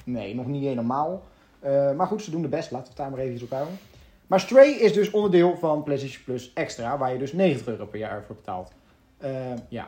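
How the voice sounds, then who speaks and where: Somewhat breathy and fairly high-pitched for a man, his dark, mellow voice moves at a fairly quick pace with lively intonation and big swings in loudness. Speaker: gaming podcast co-host. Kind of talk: casual chat.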